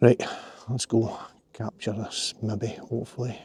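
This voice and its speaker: A quiet, somewhat breathy whisper with a Glasgow accent comes through dry and close with no echo, on a very clean recording with a silent background. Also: man. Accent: Scottish (Glasgow area). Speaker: landscape photographer, vlogger. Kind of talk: casual outdoor vlog narration. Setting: outdoors by a river. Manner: quiet, near whisper.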